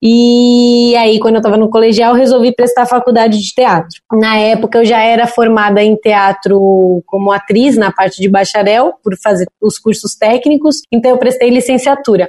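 A woman speaks at a moderate pace with a fairly high pitch. Her tone is dark and mellow, and her intonation fairly even. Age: 20s. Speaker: audiovisual producer and entrepreneur. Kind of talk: interview. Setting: video call.

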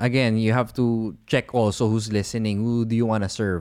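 A man with a Filipino accent speaks at a moderate pace and a medium pitch, in a very clean recording with a silent background. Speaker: podcast host. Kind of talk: casual chat.

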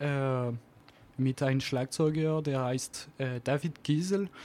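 A man's pitch varies in an ordinary way in this very clean recording, silent background behind him. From French Alps near Geneva, France. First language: French (speaking German). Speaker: jazz double bassist. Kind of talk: radio interview. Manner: halting, searching for words.

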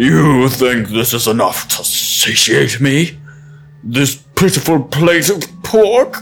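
Doing a put-on character voice, a man speaks at a fairly slow pace in a fairly high pitch. Music plays behind him. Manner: menacing, arrogant.

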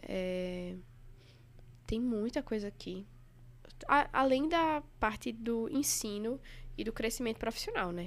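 A woman with a Recife accent. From Recife, Pernambuco, Brazil. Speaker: anesthesiology resident doctor. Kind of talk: casual chat.

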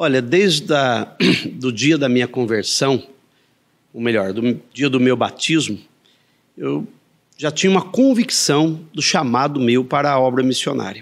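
A man's voice at a fairly slow pace, with long, frequent pauses and lively intonation. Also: medium pitch for a man. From Andradas, Minas Gerais, Brazil. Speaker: evangelical pastor. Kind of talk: interview. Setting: studio in coworking space.

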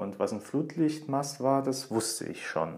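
A man talks in an ordinary speaking voice at a moderate pace with ordinary pitch variation. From Saarland, Germany. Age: 20s. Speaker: podcast host, journalist and author. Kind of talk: personal monologue podcast.

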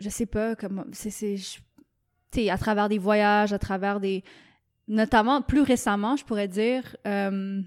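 A woman at a very slow pace with a medium pitch and fairly even intonation, long, frequent pauses, and a very clean recording with a silent background. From Quebec. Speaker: painter. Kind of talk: casual chat. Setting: studio.

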